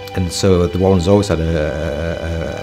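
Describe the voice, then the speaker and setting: A man with a very deep, low pitch and ordinary pitch variation, clear music in the background. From Hull. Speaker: entrepreneur. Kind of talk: interview answer. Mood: warm, reflective. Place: meeting room.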